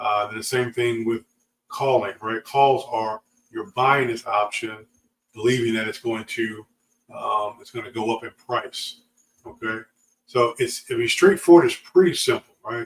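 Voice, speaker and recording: A man's somewhat breathy, relaxed voice at medium pitch, fairly slow pace, and ordinary pitch variation. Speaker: options trading educator. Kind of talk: livestream tutorial. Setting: live stream with chat. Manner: relaxed, halting with fillers.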